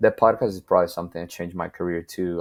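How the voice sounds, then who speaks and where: In a Spanish accent, a man speaks with a very deep, low pitch on a very clean recording with a silent background. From Venezuela. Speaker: videographer and photographer. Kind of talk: podcast interview.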